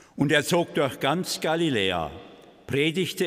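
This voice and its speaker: Against a quiet background, a man speaks at a very slow pace with vocal fry. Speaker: Gospel reader (priest or deacon). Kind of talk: liturgical Gospel reading. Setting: church. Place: church. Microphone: podium.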